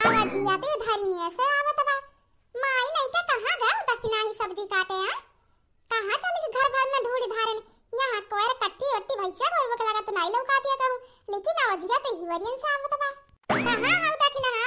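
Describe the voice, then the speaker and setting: In a cartoonish character voice, a woman speaks at a moderate pace with an extremely high pitch and lively intonation. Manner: grumbling, scolding, wailing.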